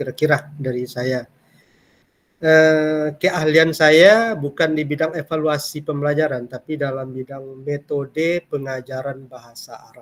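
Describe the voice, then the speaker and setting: The delivery has fairly even intonation but big swings in loudness. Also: man, fairly high pitch for a man. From Kampar, Riau, Indonesia. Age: 50s. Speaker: university lecturer. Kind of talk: lecture. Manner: hesitant with fillers.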